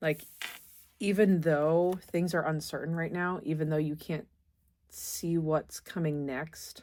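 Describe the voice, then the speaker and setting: At a fairly slow pace, a woman with an ordinary speaking voice talks fairly low in pitch, her intonation fairly even. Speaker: tarot reader. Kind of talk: tarot reading.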